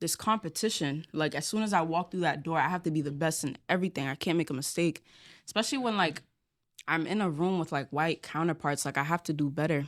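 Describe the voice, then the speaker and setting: A woman's fairly low voice at a very fast pace, on a very clean recording with a silent background. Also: ordinary pitch variation. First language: Spanish. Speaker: college student. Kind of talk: casual chat.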